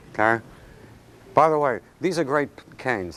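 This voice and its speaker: With noticeable background noise behind him, a man talks at a fairly slow pace with lively intonation. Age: 70s. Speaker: martial arts instructor. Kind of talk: seminar demonstration. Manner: animated.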